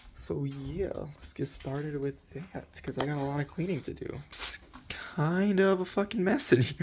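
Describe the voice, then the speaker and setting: A man speaks quietly. His loudness swings widely from moment to moment. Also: moderate pace. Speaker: vlogger. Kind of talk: casual vlog monologue. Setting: attic at home. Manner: very quiet; halting.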